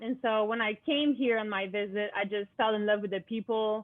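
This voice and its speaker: A Quebec accent at a moderate pace with fairly even intonation. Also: woman. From Quebec, Montreal. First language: French. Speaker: student athlete and club founder. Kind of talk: interview.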